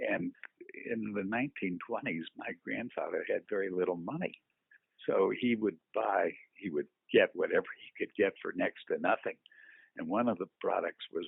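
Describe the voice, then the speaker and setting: A man speaks with a US Midwestern accent. His pauses are long and frequent. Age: 80s+. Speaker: scrapyard owner. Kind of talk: oral history interview. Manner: halting with many fillers.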